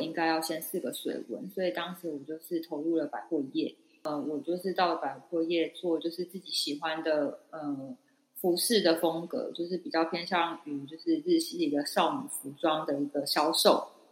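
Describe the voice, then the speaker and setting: A woman talks at a moderate pace in a normal speaking voice. Her pitch is fairly low and varies in an ordinary way. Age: 30s. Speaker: podcast co-host. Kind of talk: casual chat.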